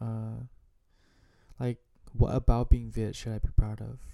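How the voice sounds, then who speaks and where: A man with an American accent speaks at a moderate speed. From United States. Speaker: vlogger. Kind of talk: personal monologue. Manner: halting; casual.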